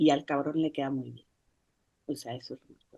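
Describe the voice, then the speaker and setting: A woman speaks with a very deep, low pitch and monotone, flat intonation. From Mexico. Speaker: author. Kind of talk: book presentation talk. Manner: soft-spoken. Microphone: laptop mic, no microphone, too quiet.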